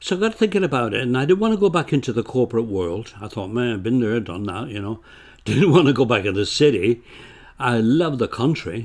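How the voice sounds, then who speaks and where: On a very clean recording with a silent background, the voice moves at a fairly quick pace with lively intonation. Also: man, medium pitch for a man. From northern England, Bolton, Lancashire. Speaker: retired accountant, author. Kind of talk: casual chat. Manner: halting, repeats words.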